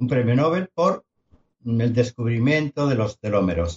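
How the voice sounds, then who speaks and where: Somewhat breathy, a man talks at a medium pitch and a fairly slow pace. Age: 70s. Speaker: longevity medicine specialist, podcast co-host. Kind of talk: casual chat.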